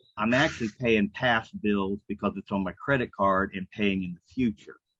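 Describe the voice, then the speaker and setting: Dry and close with no echo, a man with a normal speaking voice and a fairly low pitch talks at a moderate pace with fairly even intonation. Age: 60s. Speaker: self-employed commission earner. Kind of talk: group call sharing.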